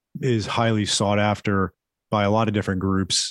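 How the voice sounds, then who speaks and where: An ordinary speaking voice with an American accent, fairly even intonation and a moderate pace, on a very clean recording with a silent background and a dry, close sound with no echo. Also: man. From South Florida. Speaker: chiropractor. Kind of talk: interview.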